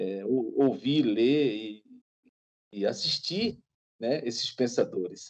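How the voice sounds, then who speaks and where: Very slow and broken by long, frequent pauses, a man's speech unfolds. His intonation is lively. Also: quiet background. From Bahia, Brazil. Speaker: photographer; guest. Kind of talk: casual interview. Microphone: video call.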